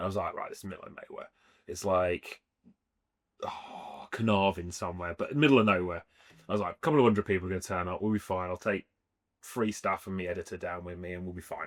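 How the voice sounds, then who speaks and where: In an English Midlands accent, a man with a very deep, low pitch speaks very fast with big swings in loudness, in a dry, close sound with no echo on a very clean recording with a silent background. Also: ordinary pitch variation. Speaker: street food trader. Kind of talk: casual interview chat.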